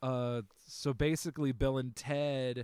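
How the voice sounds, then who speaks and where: A man's ordinary speaking voice with fairly even intonation. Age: 30s. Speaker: podcast host, film enthusiast. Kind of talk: casual chat.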